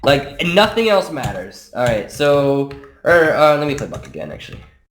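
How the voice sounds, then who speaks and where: Over audible room echo, a man with a fairly high pitch talks at a moderate pace with lively intonation. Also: big swings in loudness. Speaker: gaming strategy coach. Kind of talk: casual gaming tutorial. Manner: hesitant, many fillers.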